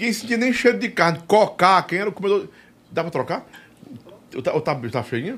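In an animated tone, a man talks at a fairly quick pace with a high pitch and very wide pitch swings. He leaves long, frequent pauses. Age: 50s. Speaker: podcast and radio host. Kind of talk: casual interview chat.

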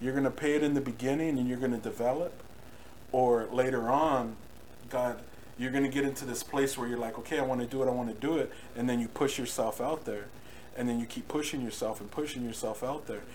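Amid noticeable background noise and audible room echo, a man with an American accent talks very fast with fairly even intonation. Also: medium pitch for a man. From Norwalk, Southern California. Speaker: worship musician. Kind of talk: testimony. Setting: home recording streamed live.

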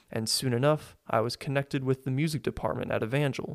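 In a very clean recording with a silent background and a dry, close sound with no echo, a man with an American accent uses a plain, everyday voice at medium pitch, fairly quick pace and fairly even intonation. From Springfield, Missouri. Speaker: podcast host and student organist. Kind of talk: devotional monologue.

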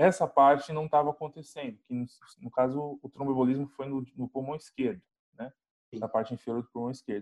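Recorded with a dry, close sound with no echo, a man at a medium pitch talks at a fairly quick pace with big swings in loudness and ordinary pitch variation. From Brazil, São Paulo (Grajaú). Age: 20s. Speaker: biomedical scientist, Covid-19 survivor. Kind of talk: interview, personal testimony. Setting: video call. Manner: halting, many fillers.

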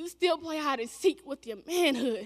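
A woman talks in a raised, projected voice. Her pace is moderate. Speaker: spoken word poet. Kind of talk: spoken word poetry performance. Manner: impassioned, rhythmic, emotionally charged delivery.

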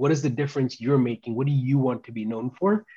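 Somewhat breathy and dark, mellow in tone, the voice moves with ordinary pitch variation over a quiet background. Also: man. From India, moved to US at age nine. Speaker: technology executive. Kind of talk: interview.

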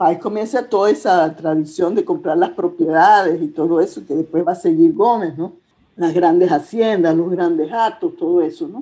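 A woman's dark, mellow tone at a fairly low pitch, with ordinary pitch variation and a moderate pace. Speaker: historian. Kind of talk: interview conversation.

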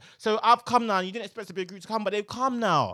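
A man speaks in a raised, projected voice with a bright, sharp tone. He goes at a very fast pace on a very clean recording with a silent background. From London, England, with years in Nigeria. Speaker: podcast co-host. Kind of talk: casual chat. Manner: animated.

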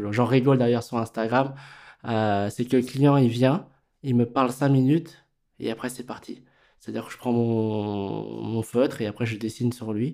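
A fairly slow pace with fairly even intonation. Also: man, medium pitch for a man. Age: 40s. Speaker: tattoo artist. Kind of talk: interview.

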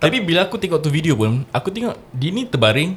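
A man speaks at a moderate pace. His pitch is fairly high and swings very widely. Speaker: podcast co-host. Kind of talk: casual banter podcast chat. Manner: code-switching Malay and English, chatty.

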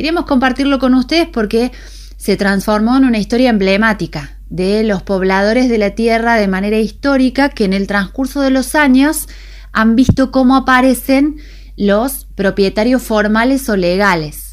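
In an ordinary speaking voice, a woman talks at a moderate pace and a fairly high pitch, with ordinary pitch variation and very even loudness. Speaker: radio host. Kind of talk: radio news and weather.

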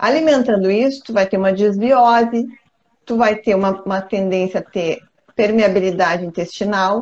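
Using a normal speaking voice, a woman talks at a medium pitch and moderate pace with ordinary pitch variation. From southern Brazil, countryside. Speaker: co-host. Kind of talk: casual chat. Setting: live stream.

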